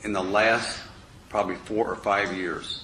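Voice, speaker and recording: A man with a fairly low voice speaks in a room with audible echo. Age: 60s. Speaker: political candidate. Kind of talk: candidate forum answer. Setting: public forum at city hall.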